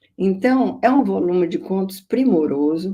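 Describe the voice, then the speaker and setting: At a fairly slow pace, a woman talks in a medium pitch with a dark, mellow tone. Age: 70s. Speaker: literary scholar and biographer. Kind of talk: lecture. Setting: video conference.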